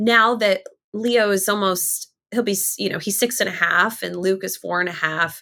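Bright and sharp in tone, a woman's medium-pitched voice moves at a moderate pace with vocal fry and fairly even intonation. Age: 30s. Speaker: TV reporter and author. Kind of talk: interview.

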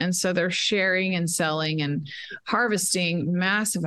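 Speaking fairly slowly in an ordinary speaking voice, a woman with an American accent has a fairly low pitch and ordinary pitch variation. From Texas, Dallas. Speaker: education activist. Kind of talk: interview. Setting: remote call from a quiet room.

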